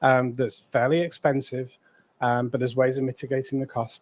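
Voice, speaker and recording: A man speaks in a flat, monotone intonation at a moderate pace with a medium pitch. The sound is dry and close with no echo. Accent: British. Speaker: real estate coach. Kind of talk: live stream co-host chat. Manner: quiet. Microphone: too quiet.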